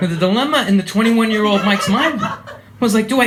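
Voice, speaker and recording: A man talks at a very fast pace amid noticeable background noise and audible room echo. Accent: American. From USA. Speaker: comedian. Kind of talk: stand-up. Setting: stage with audience.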